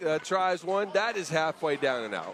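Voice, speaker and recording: Against noticeable background noise, a man speaks at a moderate pace with a high pitch. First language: not English. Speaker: 3x3 basketball commentator. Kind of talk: live commentary. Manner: animated.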